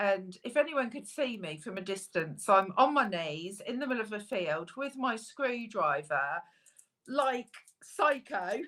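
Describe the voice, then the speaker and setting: A loud woman's voice, fairly high and bright with a sharp tone, very wide pitch swings, and a fairly slow pace. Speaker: metal detectorist co-host. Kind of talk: casual live stream chat.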